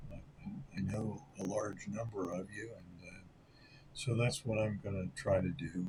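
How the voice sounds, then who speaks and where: A somewhat breathy man with an American accent speaks at fairly low pitch and a moderate pace, with ordinary pitch variation, big swings in loudness, and long, frequent pauses. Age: 70s. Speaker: sports card collector YouTuber. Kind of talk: casual vlog monologue. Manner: halting, many filler words.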